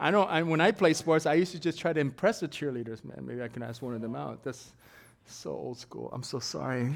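A medium-pitched man talks very fast with lively intonation, an animated tone and vocal fry. His loudness swings widely. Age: 50s. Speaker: preacher. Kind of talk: sermon. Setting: church. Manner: animated, interactive, drilling points with call-and-response; emphatic, teaching-style, verse by verse with asides.

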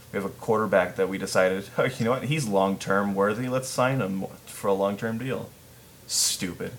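In an American accent, a man with an unremarkable speaking voice talks at a moderate pace, his fairly low pitch showing ordinary pitch variation. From Chicago region, US Midwest. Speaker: podcast host. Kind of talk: casual chat.

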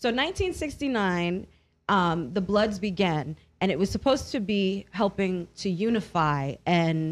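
Over a quiet background, a woman with a New York accent speaks at a medium pitch and very slow pace, her intonation lively. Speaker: radio host. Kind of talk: casual chat. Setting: studio.

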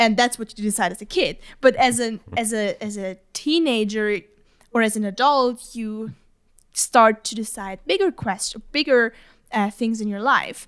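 A woman with a fairly high pitch and ordinary pitch variation speaks in an ordinary speaking voice, her loudness swinging widely, on a very clean recording with a silent background. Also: fairly slow pace. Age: 20s. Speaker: podcast co-host. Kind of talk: casual chat.

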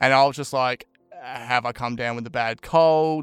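The speaker has an Australian accent and fairly even intonation, talking at a moderate pace on a very clean recording with a silent background. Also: man. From Brisbane, Australia. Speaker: podcast guest sharing mental health story. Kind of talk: casual interview, personal testimony.

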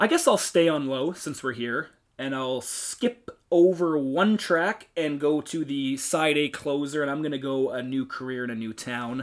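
A man at a fairly slow pace, in a normal speaking voice. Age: 20s. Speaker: podcast co-host. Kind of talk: casual chat.

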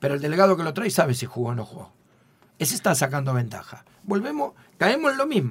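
Somewhat breathy and fairly high-pitched, a man talks at a moderate pace with very wide pitch swings. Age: 50s. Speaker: football coach. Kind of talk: radio interview.

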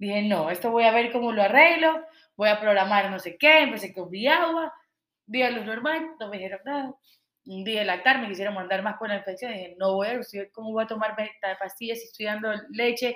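A woman with an ordinary speaking voice and a fairly high pitch talks at a fairly quick pace with ordinary pitch variation and big swings in loudness. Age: 30s. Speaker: water product entrepreneur. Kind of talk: casual interview chat.

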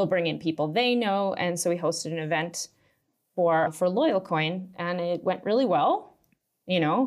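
Speaking at a moderate pace with a Maritime Canadian accent, a woman uses a fairly low pitch and ordinary pitch variation, recorded very cleanly against a silent background. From Canada, Nova Scotia. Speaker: startup executive. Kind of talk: casual interview.

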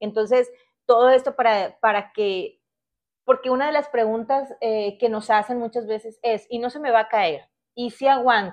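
A woman talks in a normal speaking voice at a moderate pace. Her pitch is fairly high, with ordinary pitch variation. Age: 40s. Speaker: podcast host. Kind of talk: solo podcast monologue.

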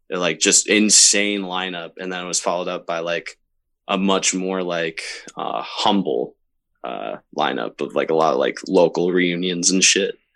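A man talks with an American accent at a very deep, low pitch. His intonation is fairly even, with vocal fry. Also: moderate pace. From Upstate New York, Camillus near Syracuse. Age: 20s. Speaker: show promoter and musician. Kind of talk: casual interview chat.

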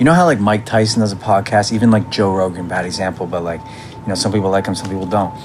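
Speaking very fast and fairly low in pitch, a man is heard through noticeable background noise. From Canada. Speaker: musician. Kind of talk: casual chat. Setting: home.

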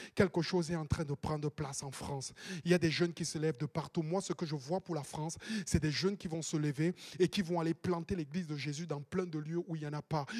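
The sound is dry and close, with no echo. A man speaks fairly quickly in a fairly high voice. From Cameroon. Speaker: pastor. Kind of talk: sermon. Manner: animated.

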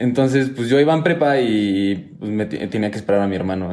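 With an audible room echo, a man in a Mexican accent speaks at a moderate pace in a fairly low pitch and a dark, mellow tone. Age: 20s. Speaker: engineering student and hip hop dancer. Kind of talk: casual interview chat.

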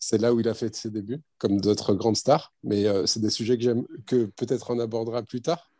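A man with a dark, mellow tone speaks at a medium pitch with fairly even intonation on a very clean recording with a silent background. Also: moderate pace. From France, Bordeaux area. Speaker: former amateur footballer. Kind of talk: interview.

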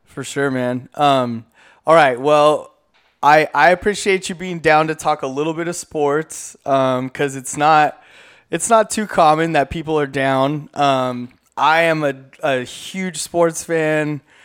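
A man with an American accent speaks very slowly, with a fairly high pitch and fairly even intonation. The recording is very clean, with a silent background. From Southern California, Inland Empire. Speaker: community radio host. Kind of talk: casual chat. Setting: radio studio.

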